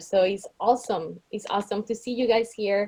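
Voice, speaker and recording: A woman speaks in a Spanish accent with a dark, mellow tone. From Colombia. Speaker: realtor. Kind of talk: candidate self-introduction at an online meeting.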